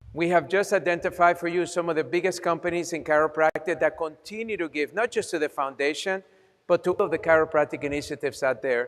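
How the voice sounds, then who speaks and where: A man with a Colombian accent, high in pitch, with ordinary pitch variation. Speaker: chiropractor, fundraiser host. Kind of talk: fundraising appeal.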